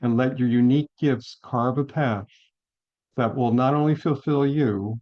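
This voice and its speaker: Fairly even intonation and a fairly slow pace from a man's medium-pitched voice. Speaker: chiropractor and wellness teacher. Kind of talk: online course lecture.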